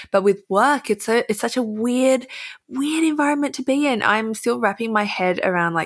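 A woman speaks with an Australian accent in a bright, sharp, animated tone and lively intonation. The recording is very clean, with a silent background. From Australia, Melbourne. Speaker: influencer and writer. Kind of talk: casual chat.

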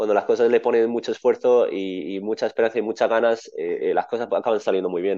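A man speaks at a very fast pace with hardly any pauses. The background is quiet. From Spain. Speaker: tennis coach. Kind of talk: interview. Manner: halting.

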